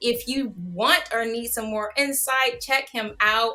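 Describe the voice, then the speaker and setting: A woman's unremarkable speaking voice at a fairly high pitch and a moderate pace. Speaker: online show host. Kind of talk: interview. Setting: livestream.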